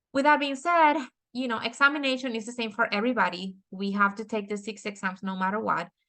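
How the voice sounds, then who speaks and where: Someone speaks very fast with a Dominican accent and ordinary pitch variation. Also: woman, fairly high pitch for a woman. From Dominican Republic. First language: Spanish. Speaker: architect and author. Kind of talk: webinar presentation. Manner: halting with many fillers.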